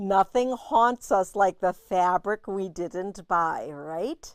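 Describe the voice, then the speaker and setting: On a very clean recording with a silent background, a woman speaks at a very slow pace in a medium-pitched voice. The sound is dry and close with no echo, and her intonation is lively. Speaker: fabric shop owner hosting live sales show. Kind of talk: live product showcase. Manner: animated.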